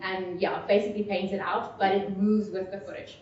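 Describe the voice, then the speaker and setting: A woman talks at a fairly quick pace in a medium pitch. Noticeable background noise and audible room echo fill the recording. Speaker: VR filmmaker. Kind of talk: technical presentation Q&A. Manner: loud.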